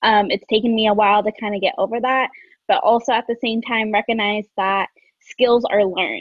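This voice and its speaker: With an unremarkable speaking voice, a woman talks at a fairly quick pace in a fairly high pitch, her intonation fairly even. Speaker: recent graduate and executive assistant. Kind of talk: panel discussion. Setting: video call.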